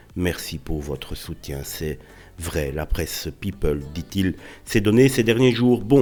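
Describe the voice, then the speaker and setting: A man's very deep, low voice, very slow, with very wide pitch swings over background music. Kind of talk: celebrity news narration. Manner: casual.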